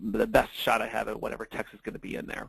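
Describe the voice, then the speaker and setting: A man speaks very fast with vocal fry. The sound is dry and close, with no echo. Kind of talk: webinar lecture. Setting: online webinar with slides. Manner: casual with many fillers.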